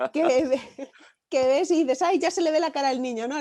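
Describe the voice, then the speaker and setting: In a slight Galician accent, a woman speaks with a dark, mellow tone. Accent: slight Galician lilt. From Galicia, Spain (village near Santiago). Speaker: novelist. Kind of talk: interview.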